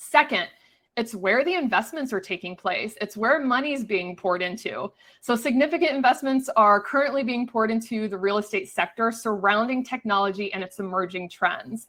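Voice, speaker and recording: Her tone bright and sharp, a woman speaks at a fairly high pitch with lively intonation. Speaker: real estate webinar presenter. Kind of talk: webinar presentation. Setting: online webinar. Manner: fast.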